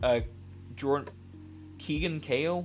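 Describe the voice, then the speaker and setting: Lively intonation with audible room echo and music in the background. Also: man. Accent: American. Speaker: 3D artist streamer. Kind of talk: live stream tutorial chat. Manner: fast; casual, rambling with fillers.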